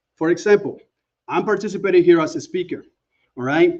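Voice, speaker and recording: At a moderate pace, a man with a Panamanian accent speaks at a high pitch with very wide pitch swings. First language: Spanish. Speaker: OSINT expert, conference speaker. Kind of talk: conference presentation. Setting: conference talk.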